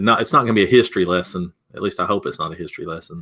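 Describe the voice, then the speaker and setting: Here a man talks in a fairly low pitch with a Southern US accent. His tone is bright and sharp. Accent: Southern US twang. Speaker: digital marketing consultant. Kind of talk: webinar presentation.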